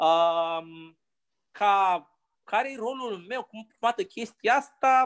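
Speaking at a very slow pace, a man with a high pitch and lively intonation is heard in a dry, close sound with no echo. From Romania, Pitești. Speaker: university lecturer. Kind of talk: casual chat.

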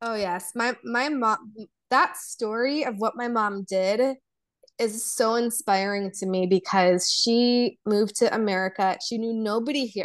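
A woman speaks at a fairly slow pace in a fairly high pitch with ordinary pitch variation. The background is quiet. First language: Polish. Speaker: embodiment coach. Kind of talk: casual interview chat.

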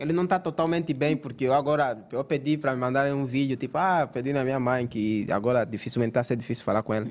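Speaking very fast with hardly any pauses, a man with an Angolan accent uses a medium pitch. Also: ordinary pitch variation. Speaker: content creator. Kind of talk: casual chat.

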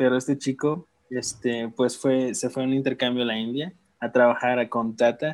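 Speaking at a moderate pace, a man uses an ordinary speaking voice at medium pitch with fairly even intonation. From Mexico, Guerrero (Tixtla). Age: 20s. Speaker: former volunteer abroad. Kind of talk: casual interview.

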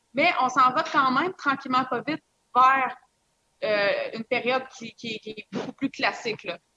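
A woman projects a raised voice, high-pitched and bright and sharp in tone, at a moderate pace with ordinary pitch variation. Her loudness swings widely, long pauses come often, and the sound is dry and close with no echo. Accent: Quebec. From Quebec, small village. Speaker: mixologist. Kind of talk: casual interview with tasting.

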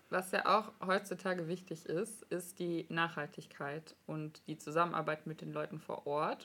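A normal speaking voice from a woman, fairly low in pitch, at a moderate pace with fairly even intonation. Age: 20s. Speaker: podcast host, master's student. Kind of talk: casual interview.

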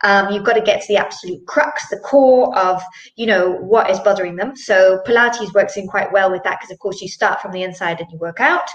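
A woman at a fairly quick pace, with big swings in loudness and noticeable background noise. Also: medium pitch for a woman, ordinary pitch variation. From Zimbabwe. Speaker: Pilates instructor. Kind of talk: interview conversation. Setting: live video stream.

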